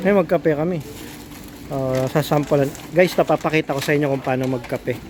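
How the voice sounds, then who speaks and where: Soft-spoken and very fast, a man talks at a fairly high pitch with fairly even intonation against noticeable background noise. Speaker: vlogger and small business owner. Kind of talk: casual vlog.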